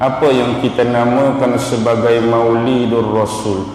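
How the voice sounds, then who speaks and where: Amid noticeable background noise and audible room echo, a man of medium pitch speaks very slowly in a flat monotone. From Malaysia, Kelantan (Pasir Mas). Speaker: religious teacher. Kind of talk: religious lecture. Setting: mosque with audience.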